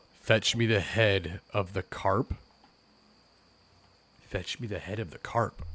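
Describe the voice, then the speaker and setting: In a put-on character voice, a man speaks at a fairly slow pace with a fairly low pitch, leaving long, frequent pauses. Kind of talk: archaic, solemn commands. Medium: game stream. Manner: imperious, cold.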